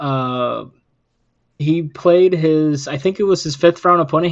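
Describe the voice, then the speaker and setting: A man speaks with a non-native accent. His intonation stays fairly even at a fairly slow pace. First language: not English. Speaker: podcast host. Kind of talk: casual chat.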